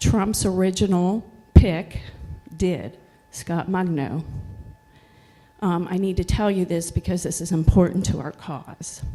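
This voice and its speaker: A quiet woman's voice, fairly low-pitched, dark and mellow, at a fairly slow pace with long, frequent pauses, fairly even intonation and big swings in loudness. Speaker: workplace safety expert; public commenter. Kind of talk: public comment.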